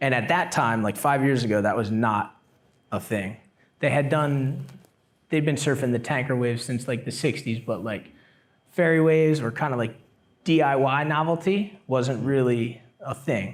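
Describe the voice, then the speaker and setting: Speaking at a moderate pace with an American accent, a man has a plain, everyday voice at a medium pitch with ordinary pitch variation. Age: 30s. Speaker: semi-pro surfer and YouTuber. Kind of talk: casual interview chat.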